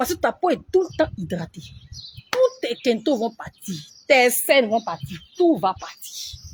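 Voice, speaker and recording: A woman's fairly high, somewhat breathy voice at a fairly slow pace, with very wide pitch swings. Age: 40s. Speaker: beauty influencer. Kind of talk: live stream tutorial. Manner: slow with pauses.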